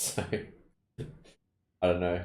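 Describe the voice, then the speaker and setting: With an Australian accent, a somewhat breathy voice of dark, mellow tone speaks at a moderate pace amid audible room echo. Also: man. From Australia (Perth). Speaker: video game streamer. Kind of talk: casual chat.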